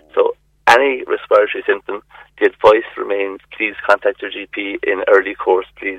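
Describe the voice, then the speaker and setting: This man speaks with an Irish accent. His pace is moderate. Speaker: GP doctor. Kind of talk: radio interview. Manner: halting.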